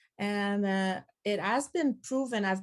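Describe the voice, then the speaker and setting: This woman speaks with a Quebec French accent. Her pitch is medium. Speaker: pedagogue and former teacher. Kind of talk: conference presentation. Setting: conference with audience.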